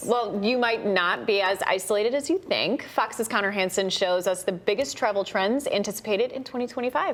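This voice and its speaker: A woman's fairly high voice at a fairly quick pace, with ordinary pitch variation, hardly any pauses, and noticeable background noise. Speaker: TV news anchor. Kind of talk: local TV newscast anchor read.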